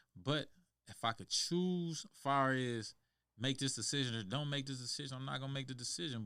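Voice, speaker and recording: Here is a plain, everyday voice with ordinary pitch variation at a fairly quick pace. The recording is very clean, with a silent background. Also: man. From Michigan. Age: 50s. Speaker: former prisoner. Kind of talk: casual chat. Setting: studio.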